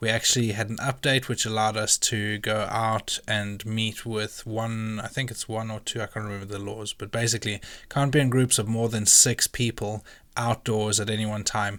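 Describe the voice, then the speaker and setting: In a very clean recording with a silent background, a man of medium pitch speaks at a moderate pace with monotone, flat intonation. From Zimbabwe. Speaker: vlogger and wedding photographer. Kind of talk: casual vlog talk to camera. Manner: casual, filler-heavy.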